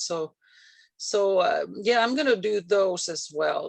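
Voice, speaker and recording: The speaker has a slight Finnish accent, with a quiet background. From Finland. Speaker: real estate agent. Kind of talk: casual chat. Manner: halting.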